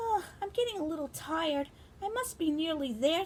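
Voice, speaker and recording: At a moderate pace, a woman does a put-on character voice that is squeaky and extremely high, with very wide pitch swings. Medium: read story. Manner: determined.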